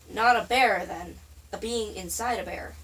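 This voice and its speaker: A woman puts on a raspy character voice and speaks at a moderate pace. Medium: read story. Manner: calm, guarded.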